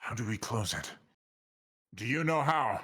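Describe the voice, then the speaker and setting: Putting on a character voice, a man speaks at medium pitch and a moderate pace. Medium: actual play. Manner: measured, grave.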